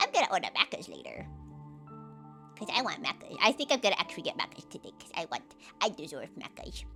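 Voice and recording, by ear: Over clear music in the background, a put-on character voice with a fairly high pitch rushes along at a very fast pace between long, frequent pauses.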